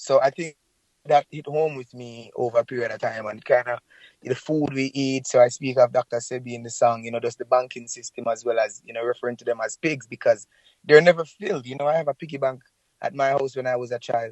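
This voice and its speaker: Talking very fast at a medium pitch, a man keeps fairly even intonation while his loudness swings widely. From Jamaica, rural St. Elizabeth. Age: 30s. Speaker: reggae singer. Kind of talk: interview. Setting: phone call.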